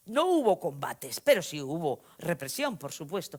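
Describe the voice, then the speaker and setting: A woman with an animated tone speaks at a moderate pace, her pitch swinging very widely. The recording is very clean, with a silent background. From Spain, Vitoria-Gasteiz (Basque Country). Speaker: novelist. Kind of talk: lecture. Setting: stage with audience. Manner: animated, conversational storytelling.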